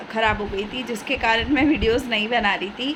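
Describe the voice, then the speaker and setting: A woman with a fairly high pitch talks over noticeable background noise, and the room gives off an audible echo. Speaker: mom vlogger. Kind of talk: casual vlog chat. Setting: at home.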